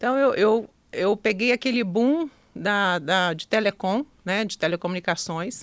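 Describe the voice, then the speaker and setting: In a Minas Gerais accent, a woman speaks at a fairly slow pace and medium pitch with lively intonation, in a dry, close sound with no echo. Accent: Minas Gerais (mineiro). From Minas Gerais, Brazil (Ubá, Zona da Mata). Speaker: customer experience consultant and mentor. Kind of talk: podcast interview.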